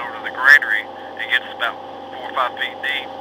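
A man talks rather quickly against noticeable background noise. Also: dry sound with no echo. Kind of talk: casual conversation. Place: boat.

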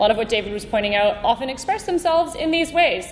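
Over noticeable background noise, a woman with a Canadian accent talks at a very fast pace with lively intonation. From Canada, Vancouver. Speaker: conference speaker, team builder. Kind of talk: conference talk.

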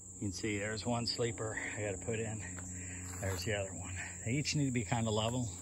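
Noticeable background noise sits under a dry sound that carries no echo. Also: man. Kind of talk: casual vlog chat. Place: forest. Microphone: phone near.

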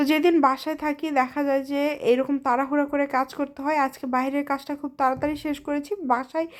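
In a very clean recording with a silent background, a woman speaks at a high pitch with monotone, flat intonation. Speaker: vlogger. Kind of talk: vlog narration. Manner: casual conversational.

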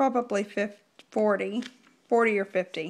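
Over a quiet background, a woman speaks very slowly with fairly even intonation. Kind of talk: casual vlog chat. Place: kitchen. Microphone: phone near.

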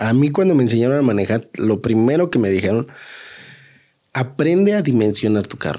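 Against a quiet background, a man with a Mexico City accent speaks at a moderate pace with a dark, mellow tone and lively intonation. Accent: Mexico City Spanish (chilango). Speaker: taxi driver; guest. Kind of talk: casual storytelling. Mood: relaxed, conversational. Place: studio. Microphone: studio mic.

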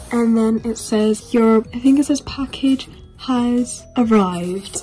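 Faint music plays behind a woman who speaks at a very slow pace with fairly even intonation. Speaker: toy collector channel host. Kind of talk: casual vlog chat. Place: home room. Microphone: phone near.

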